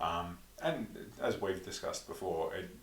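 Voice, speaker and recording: A man speaks with an Australian accent. Noticeable background noise and audible room echo surround the recording. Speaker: podcast co-host, tabletop wargamer. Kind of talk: casual chat.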